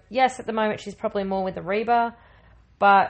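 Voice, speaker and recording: Using an ordinary speaking voice, a woman talks with a fairly high pitch and ordinary pitch variation. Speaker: guest co-host. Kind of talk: casual chat.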